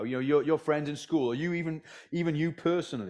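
Against a quiet background, a man with fairly high pitch talks at a fairly quick pace. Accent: Welsh Valleys. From Wales. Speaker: preacher. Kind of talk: sermon. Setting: church, live audience. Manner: passionate; halting, with fillers.

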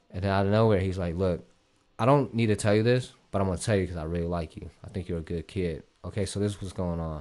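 Speaking at a very fast pace with an American accent, a man uses a very deep, low pitch with ordinary pitch variation. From Columbus, Ohio. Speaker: streetwear designer. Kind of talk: casual chat. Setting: studio.

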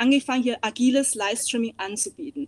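Dry and close with no echo, a woman's high-pitched voice moves at a moderate pace. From East Asia, moved to Germany at ten. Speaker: hospitality sales and marketing consultant. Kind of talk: casual chat.

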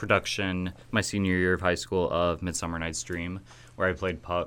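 A man speaks in a very deep, low pitch with a Midwestern American accent. His pace is moderate. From US Midwest, Kewanee, Illinois. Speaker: college student and actor. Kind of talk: radio interview.

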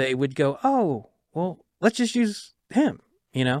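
Lively intonation marks this man's speech at a moderate pace. The recording is very clean, with a silent background. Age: 50s. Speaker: trailer editor. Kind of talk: casual interview.

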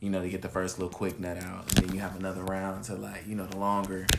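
A man with an American accent speaks in a very deep, low voice, with audible room echo. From California. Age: 20s. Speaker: podcast guest co-host. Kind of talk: casual chat.

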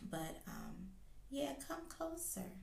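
A woman is speaking. Audible room echo can be heard. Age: 40s. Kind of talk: devotional talk. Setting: recording late at night.

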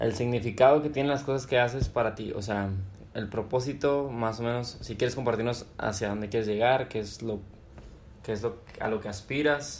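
A man is speaking at a moderate pace. His pitch is medium. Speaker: podcast host. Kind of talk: casual chat.

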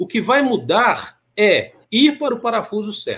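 A man's high voice with ordinary pitch variation. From Minas Gerais, Brazil. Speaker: maintenance engineering manager and professor. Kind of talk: interview.

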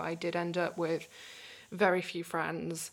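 With a British accent, a woman speaks at a fairly low pitch, her voice showing vocal fry. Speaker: recovery advocate and coach. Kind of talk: casual interview, telling her life story.

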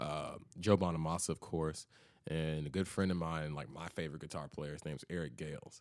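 A man with an American accent speaks at a fairly quick pace. His pitch is very deep and low, with fairly even intonation. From US South, Memphis, Tennessee. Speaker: blues guitarist. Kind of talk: casual chat.

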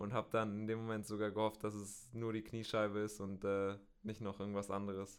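The man speaks at a fairly quick pace with a fairly low pitch and monotone, flat intonation. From Bielefeld, North Rhine-Westphalia, Germany. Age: 20s. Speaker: professional road cyclist. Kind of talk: interview. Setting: studio. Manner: hesitant, many fillers.

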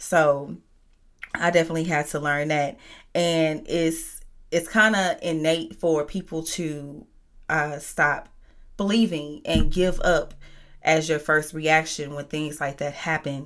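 Very deep and low-pitched, a woman speaks at a very slow pace with fairly even intonation in a very clean recording with a silent background. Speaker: podcast host and business owner. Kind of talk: faith talk monologue. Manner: casual, many fillers.

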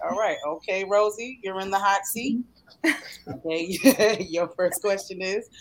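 With an American accent and medium pitch, a woman speaks at a fairly slow pace. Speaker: show host. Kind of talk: casual promotional chat.

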